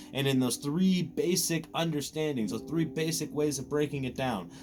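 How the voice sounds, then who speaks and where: Fairly high-pitched male voice at a moderate pace, with ordinary pitch variation and music in the background. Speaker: anime youtuber. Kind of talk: casual commentary monologue. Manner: halting, repeats words.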